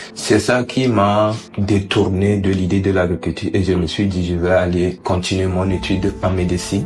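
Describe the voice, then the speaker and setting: With music in the background, a man with a very deep, low pitch talks at a moderate pace, his loudness very even and his intonation fairly even. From Togo. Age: 20s. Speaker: prisoner of war. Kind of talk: interview. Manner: halting.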